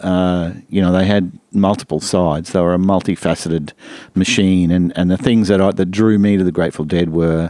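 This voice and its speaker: A man speaks with an Australian accent at a fairly quick pace. His pitch is very deep and low. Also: fairly even intonation, very even loudness. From Brisbane, Australia. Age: 60s. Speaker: music lecturer and producer. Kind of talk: casual interview. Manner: hesitant, many fillers.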